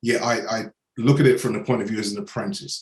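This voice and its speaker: Talking at a very fast pace, a man with an English accent has lively intonation and medium pitch. His voice is somewhat breathy. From England. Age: 60s. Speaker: business mentor and coach. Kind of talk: podcast interview.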